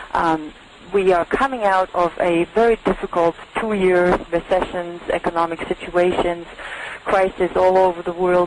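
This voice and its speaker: A woman speaks with a German accent at a fairly low pitch. Her intonation is fairly even, and there is noticeable background noise. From Germany. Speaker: industry analyst. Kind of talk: webinar presentation.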